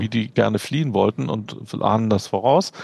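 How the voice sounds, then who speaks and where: Speaking at a moderate pace, this man has a medium pitch. His intonation is lively. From Berlin, Germany. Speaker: physician and medical educator. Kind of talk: interview.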